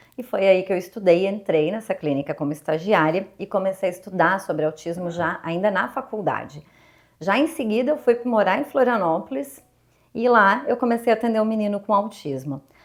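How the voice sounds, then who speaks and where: A woman speaks at a medium pitch with a southern Brazilian accent. Her intonation is lively and her pace moderate. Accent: gaúcho (southern Brazilian). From Rio Grande do Sul, Brazil (Porto Alegre). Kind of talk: interview.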